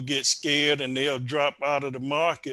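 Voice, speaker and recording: On a very clean recording with a silent background, a man speaks in a fairly high pitch with a bright, sharp tone and monotone, flat intonation. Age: 60s. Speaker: individual investor. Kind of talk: interview.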